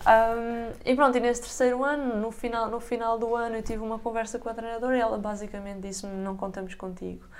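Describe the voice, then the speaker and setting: A woman rushes along at a very fast pace with hardly any pauses. Her intonation is monotone and flat, and room echo is audible. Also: fairly high pitch for a woman. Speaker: basketball player. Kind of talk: casual chat.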